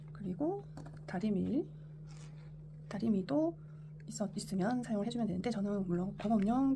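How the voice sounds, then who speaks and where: In a Busan accent, a woman speaks at a fairly quick pace with medium pitch and ordinary pitch variation, amid audible room echo and noticeable background noise. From Korea, Busan. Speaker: sewing tutorial creator. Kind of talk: tutorial. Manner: halting, self-correcting.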